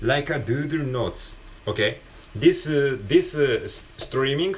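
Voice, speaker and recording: Over noticeable background noise, a man talks at a fairly slow pace, his pitch swinging very widely. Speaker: podcaster. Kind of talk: casual solo talk, English practice. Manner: halting, many fillers.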